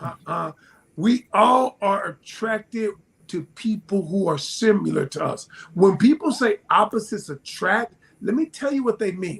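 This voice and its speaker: A man speaks loudly in a high pitch, with an animated tone. His pace is fairly slow and his intonation lively. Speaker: relationship advice guest on podcast. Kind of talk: podcast discussion.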